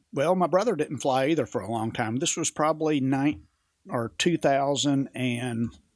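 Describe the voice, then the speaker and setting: This man has an ordinary speaking voice and an American accent, recorded very cleanly against a silent background. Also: fairly high pitch for a man, ordinary pitch variation, moderate pace. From US South. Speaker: pilot and aviation storyteller. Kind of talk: casual chat, storytelling over whiskey. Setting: studio, drinking whiskey.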